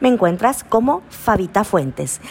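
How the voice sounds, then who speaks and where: A woman at a medium pitch speaks at a very slow pace with very wide pitch swings, over noticeable background noise. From Mexico, Colima. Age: 40s. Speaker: podcast host. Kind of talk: casual chat.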